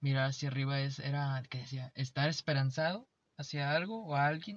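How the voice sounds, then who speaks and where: A man's somewhat breathy, fairly high voice at a moderate pace, fairly even in intonation, with a dry, close sound with no echo and a quiet background. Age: 20s. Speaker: podcast co-host. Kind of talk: casual chat.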